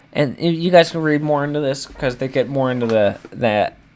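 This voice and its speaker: A man is speaking with ordinary pitch variation. Noticeable background noise can be heard behind him. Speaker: stock market commentator. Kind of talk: casual commentary reading news articles. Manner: animated; halting, stumbles over words.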